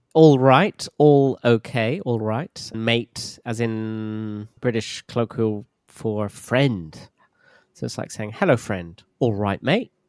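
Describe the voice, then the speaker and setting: A man with a London accent speaks very slowly at a medium pitch, with ordinary pitch variation, in a dry, close recording with no echo. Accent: southern English (London). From southern England, southwest. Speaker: English teacher. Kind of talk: casual chat.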